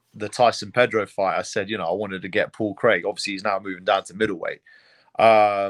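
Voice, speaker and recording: With a British accent, a man talks at a fairly quick pace with a fairly low pitch, monotone, flat intonation and big swings in loudness on a very clean recording with a silent background. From England, London. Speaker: MMA fighter. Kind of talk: interview. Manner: casual, repeats words often.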